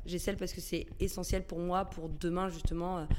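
The woman's pitch is fairly low. Her intonation is monotone and flat. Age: 30s. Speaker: communications director. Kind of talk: interview. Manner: hesitant with fillers.

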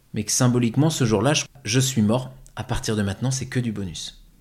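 A man's somewhat breathy voice at medium pitch, with ordinary pitch variation and a moderate pace, in a very clean recording over a silent background. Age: 30s. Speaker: actor and life coach. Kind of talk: testimony.

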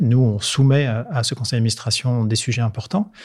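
The recording is very clean with a silent background as a man speaks at a medium pitch in a somewhat breathy voice. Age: 50s. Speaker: marketing director. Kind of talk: interview.

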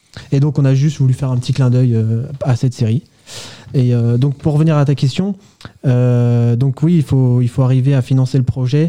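A man with a medium pitch talks at a moderate pace with very even loudness and fairly even intonation, leaving long, frequent pauses. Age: 20s. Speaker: aerospace engineering graduate. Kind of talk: radio interview. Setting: radio studio. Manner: hesitant, many fillers.

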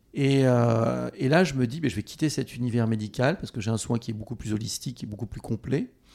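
This man has a plain, everyday voice of medium pitch, talking at a fairly quick pace with hardly any pauses and ordinary pitch variation. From France, Haute-Corrèze. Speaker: pedicure expert and brand founder. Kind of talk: interview.

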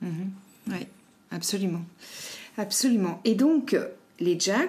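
At a very slow pace, a woman speaks in a dark, mellow tone. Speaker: podcast host. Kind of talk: interview conversation.

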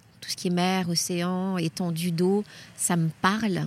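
This woman's voice sits at a fairly low pitch. She speaks at a very slow pace. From Guadeloupe. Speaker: journalist and teacher. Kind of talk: travel interview. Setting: outdoors at a memorial site. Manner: halting, repeats words.

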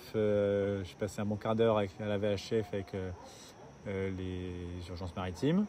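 A man with a fairly low pitch talks very slowly in a monotone, flat delivery, leaving long, frequent pauses. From southern France. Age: 20s. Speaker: sailor. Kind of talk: casual interview.

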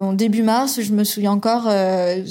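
A woman's medium-pitched voice with a dark, mellow tone, fairly even intonation and a moderate pace. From Toulouse, southern France. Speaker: engineer, regional manager in EV charging. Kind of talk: interview, personal career story. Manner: hesitant, with fillers and repetitions.

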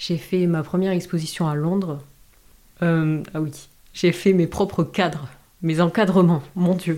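A woman's fairly low, dark, mellow voice, fairly slow and fairly even in intonation, with long, frequent pauses, in a very clean recording with a silent background. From southwest France (Dax). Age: 20s. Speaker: visual artist. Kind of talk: interview. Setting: host's office. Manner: halting.

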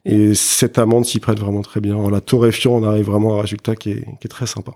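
Very fast and monotone with flat intonation, a man speaks at a fairly low pitch. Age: 40s. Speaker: spirits brand co-founder. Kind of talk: interview. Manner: halting, many fillers and repetitions.

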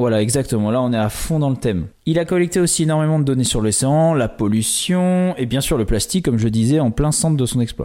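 Talking at a fairly quick pace, a man with a medium pitch and a dark, mellow tone uses lively intonation while keeping his loudness very even. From western France, island off the Atlantic coast. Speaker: podcast co-host. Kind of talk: casual chat with storytelling.

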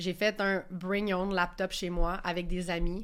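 A woman speaks at a medium pitch in a monotone, flat intonation, recorded very cleanly against a silent background. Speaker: startup founder. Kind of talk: casual panel discussion. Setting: studio.

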